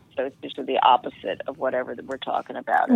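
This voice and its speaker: At a fairly quick pace, someone talks against noticeable background noise. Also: woman. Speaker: podcast guest, doctor giving life advice. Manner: calm.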